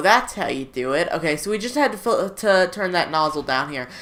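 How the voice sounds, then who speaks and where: The speaker is a woman with a medium pitch. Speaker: gaming youtuber. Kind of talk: gameplay commentary. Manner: flat, not very excited-sounding.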